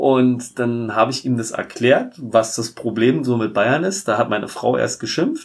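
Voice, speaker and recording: A man's plain, everyday voice, medium in pitch, with ordinary pitch variation and a fairly slow pace. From Berlin (Tempelhof). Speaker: football fan. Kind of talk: casual chat.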